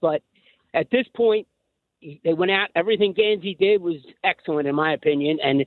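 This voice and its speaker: A man with a high pitch speaks in a Philadelphia accent. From Philadelphia area. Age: 60s. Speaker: caller. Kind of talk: call-in to sports radio. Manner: halting.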